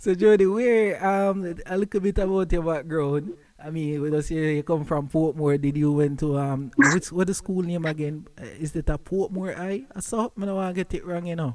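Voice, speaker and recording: A man with a Jamaican accent, high-pitched, at a moderate pace and with ordinary pitch variation. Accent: Jamaican, patois-inflected. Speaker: podcast host interviewing guest. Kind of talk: casual chat.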